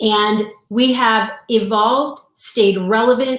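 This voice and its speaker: A woman speaks in an animated tone. Her pitch sits fairly high. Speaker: sales coach and mentor. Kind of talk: live-streamed sales launch party. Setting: live video stream.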